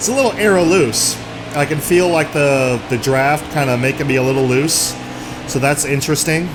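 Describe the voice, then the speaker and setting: A man's fairly high voice at a moderate pace, very even in loudness with ordinary pitch variation, amid audible room echo and noticeable background noise. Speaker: gaming YouTuber. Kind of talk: gameplay commentary. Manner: animated.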